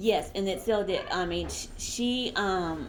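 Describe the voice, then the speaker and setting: The speech comes at a very slow pace with fairly even intonation, and the room echo is audible. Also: woman. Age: 60s. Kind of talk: casual interview.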